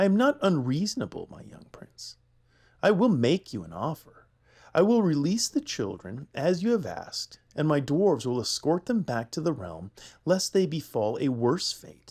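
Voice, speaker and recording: A man puts on a gravelly character voice with fairly high pitch, speaking at a moderate pace. The recording is very clean, with a silent background. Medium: read story. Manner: silky menace, condescending.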